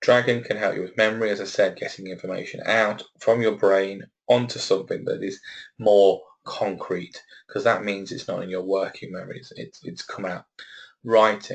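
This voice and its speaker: Speaking at a moderate pace with a Leicester accent, a man's voice swings widely in loudness. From Leicester, England. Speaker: webinar presenter on assistive technology. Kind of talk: webinar presentation. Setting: office on his own.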